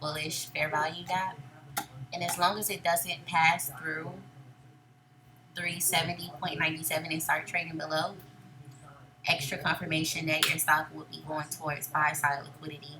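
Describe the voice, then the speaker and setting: A woman speaks at a moderate pace in a very deep, low pitch, with monotone, flat intonation. Her loudness swings widely, and long pauses come often. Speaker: day trader and trading educator. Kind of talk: screen-share trade recap tutorial. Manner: casual.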